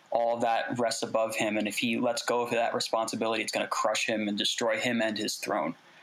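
Fairly quick speech from a man, with hardly any pauses, very even loudness and noticeable background noise. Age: 20s. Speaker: artist. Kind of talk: interview.

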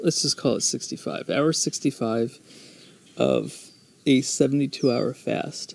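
A man with an American accent speaks at a very slow pace and medium pitch. His intonation stays fairly even, with vocal fry throughout. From United States. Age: 30s. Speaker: podcast host. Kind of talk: solo monologue. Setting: outdoors.

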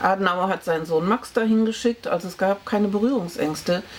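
Over noticeable background noise, a woman talks at medium pitch with ordinary pitch variation. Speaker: historian. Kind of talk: oral history interview.

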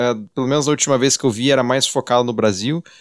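In a very clean recording with a silent background, a man with a plain, everyday voice speaks at medium pitch with ordinary pitch variation, the sound dry and close with no echo. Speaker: podcast host. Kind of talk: interview. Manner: formal.

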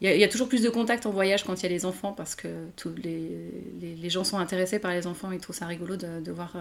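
Words tumble out very fast, the intonation staying fairly even. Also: woman. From France. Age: 30s. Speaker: novelist. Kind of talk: interview. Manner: halting, many hesitations.

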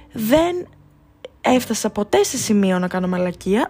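A woman talks at a fairly slow pace in an animated tone, her pitch swinging very widely. Noticeable background noise is present. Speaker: podcast host. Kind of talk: casual monologue.

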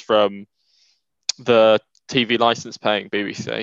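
A man speaks with monotone, flat intonation. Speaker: podcast host. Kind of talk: casual chat.

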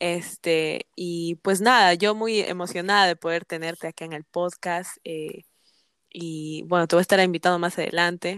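With a fairly low pitch and fairly even intonation, a woman speaks at a fairly slow pace in a dry, close sound with no echo. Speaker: podcast host. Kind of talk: interview.

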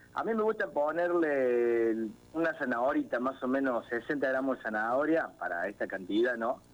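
Here is a man with a normal speaking voice at a medium pitch. His intonation is lively, his pace moderate, and his loudness very even. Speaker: cook. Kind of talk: cooking tutorial.

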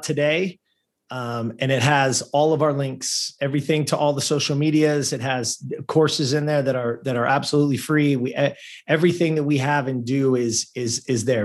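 Against a quiet background, a man talks at a fairly quick pace with a fairly high pitch. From Southern California (Lancaster). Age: 50s. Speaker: former pro athlete and performance coach. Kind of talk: interview. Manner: animated.

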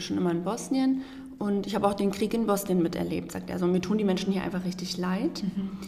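A woman speaks in a medium pitch with ordinary pitch variation. Noticeable background noise and audible room echo surround her voice. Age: 20s. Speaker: volunteer aid worker. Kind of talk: podcast interview.

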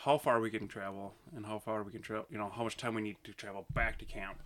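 A man talks at a fairly quick pace with a bright, sharp tone at medium pitch. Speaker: guest, younger brother of host. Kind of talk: casual banter.

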